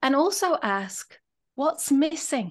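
At a high pitch, a woman speaks at a very slow pace. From England. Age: 50s. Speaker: business coach and author. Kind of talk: casual interview chat.

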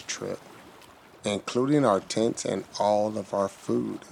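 A man with an American accent, a plain, everyday voice, a fairly low pitch and ordinary pitch variation. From US, Chicago. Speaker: blind kayaker. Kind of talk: storytelling narration. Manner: slow, simple.

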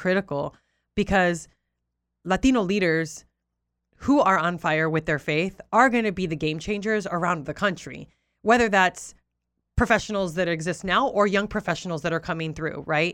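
A woman with a Southern California accent, fairly low in pitch, at a moderate pace with ordinary pitch variation, on a very clean recording with a silent background. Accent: Southern Californian English. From Southern California (Oxnard), Puerto Rican-Cuban family. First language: Spanish. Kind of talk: interview conversation. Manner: animated.

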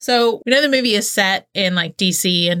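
The woman has a Southern US accent and a medium pitch. Her tone is bright and sharp, and she keeps a moderate pace. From US South. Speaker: podcast host. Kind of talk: casual chat.

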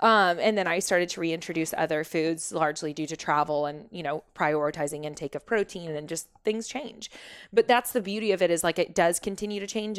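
A woman's unremarkable speaking voice with an American accent, at a fairly low pitch and a fairly quick pace, with ordinary pitch variation, hardly any pauses and a very clean recording with a silent background. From Oklahoma (Shawnee), US. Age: 30s. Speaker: wellness coach, former realtor. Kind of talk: interview, personal story.

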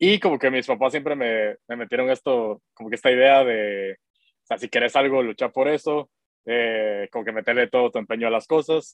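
A man speaks in a plain, everyday voice at a medium pitch. His pace is moderate, and his pitch varies in an ordinary way. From Guatemala. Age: 30s. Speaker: tech startup founder. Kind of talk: interview.

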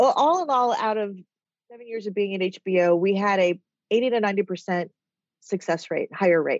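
With an American accent, a woman speaks at medium pitch and a moderate pace, with ordinary pitch variation. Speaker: TV development executive and author. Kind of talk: casual interview chat. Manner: rambly.

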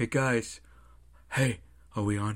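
A man's put-on character voice at a medium pitch. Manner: timid, nervous.

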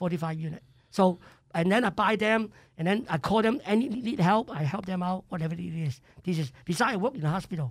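Speaking in a Cantonese accent, a man talks at a very fast pace with a high pitch and lively intonation. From Hong Kong. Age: 70s. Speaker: chef. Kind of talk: interview. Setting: studio. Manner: animated.

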